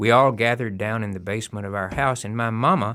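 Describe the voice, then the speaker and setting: A voice with a Southern US accent comes through on a very clean recording with a silent background. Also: man. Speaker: storyteller. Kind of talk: storytelling.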